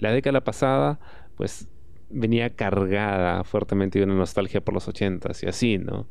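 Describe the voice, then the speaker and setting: Speaking at a moderate pace, a man has a normal speaking voice with a fairly low pitch. His pitch varies in an ordinary way. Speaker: podcast host. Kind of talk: solo podcast monologue. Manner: casual, frequent filler.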